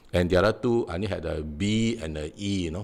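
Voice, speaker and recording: A man with a Singaporean accent speaks at a moderate pace. His pitch is very deep and low, with ordinary variation. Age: 60s. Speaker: defendant in defamation suit, author. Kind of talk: interview. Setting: live online stream. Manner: halting, many fillers.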